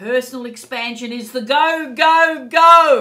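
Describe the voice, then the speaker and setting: Very slowly, a woman speaks in a bright, sharp tone. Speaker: psychic tarot reader. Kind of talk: casual anecdote; astrology and tarot forecast monologue. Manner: animated.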